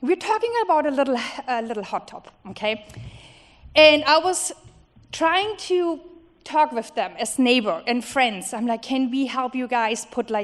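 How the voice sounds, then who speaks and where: A woman with a non-native accent speaks at a fairly slow pace, leaving long, frequent pauses. Her high pitch makes very wide swings. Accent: foreign accent, noticeable. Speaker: resident speaking at public comment. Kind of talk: public comment at council meeting. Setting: city council meeting. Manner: halting.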